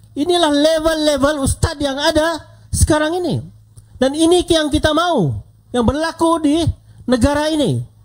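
Against a quiet background, a man with a high-pitched voice speaks at a fairly slow pace. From Sabah. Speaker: politician, deputy minister; politician at rally. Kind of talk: political rally speech. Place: hall. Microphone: handheld.

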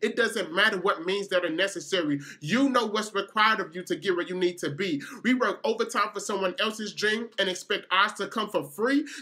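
Raised and projected, a man's high-pitched voice has a bright, sharp tone and ordinary pitch variation. He moves at a fairly quick pace over a quiet background. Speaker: spoken word poet. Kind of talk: spoken word poetry performance.

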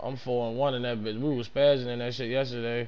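Through noticeable background noise, a man speaks with monotone, flat intonation. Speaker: gaming streamer. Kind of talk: live gameplay stream chat. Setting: home gaming setup, on mic. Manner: casual, profane.

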